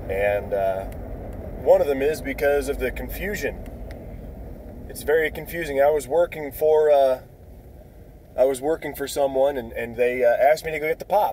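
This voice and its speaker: Over noticeable background noise, a man with an American accent speaks with long, frequent pauses. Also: moderate pace. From northern US. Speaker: YouTuber, military veteran, student. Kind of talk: casual vlog monologue. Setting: in a car, driving.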